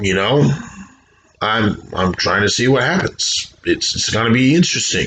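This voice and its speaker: Over noticeable background noise, a man with a medium pitch talks at a moderate pace. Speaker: video blogger. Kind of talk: personal vlog monologue. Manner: halting, repeats words.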